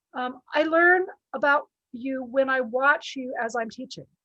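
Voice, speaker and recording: Her raised, projected voice has a high pitch, a bright, sharp tone and ordinary pitch variation. The woman speaks at a fairly slow pace in a dry, close sound with no echo. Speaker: statistics professor. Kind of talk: video call discussion.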